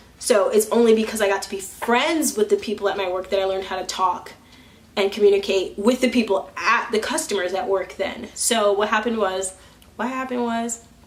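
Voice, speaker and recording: Noticeable background noise sits behind a woman's voice. She speaks at a fairly high pitch and a fairly quick pace, with ordinary pitch variation. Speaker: vlogger. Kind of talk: casual vlog monologue. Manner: loud; halting.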